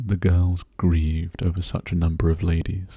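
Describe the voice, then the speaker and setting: Soft-spoken and somewhat breathy, a man talks in a very deep, low pitch. His tone is dark and mellow, calm and gentle. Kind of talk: soft-spoken ASMR audiobook reading of a classic novel. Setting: intimate close-mic recording for relaxation and sleep. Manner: soft-spoken, calm, gentle.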